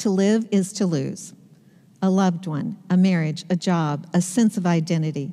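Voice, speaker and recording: The background is quiet while a woman talks. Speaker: pastor preaching. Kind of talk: sermon. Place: church.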